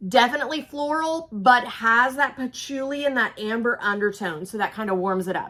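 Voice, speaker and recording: A woman with an Oklahoma accent speaks at a moderate pace, her bright, sharp tone carried by lively intonation. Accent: Oklahoma twang. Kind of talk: casual, descriptive.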